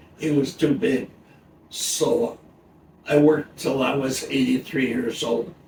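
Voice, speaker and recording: A man talks at a fairly high pitch with long, frequent pauses. Noticeable background noise runs underneath. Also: ordinary pitch variation, fairly slow pace. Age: 90s. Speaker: retired computer technician. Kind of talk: casual interview.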